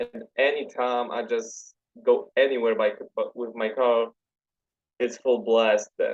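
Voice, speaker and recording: Someone with a Polish accent speaks at a very slow pace, with long, frequent pauses. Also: man. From Poland. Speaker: metal fan page admin. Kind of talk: podcast interview.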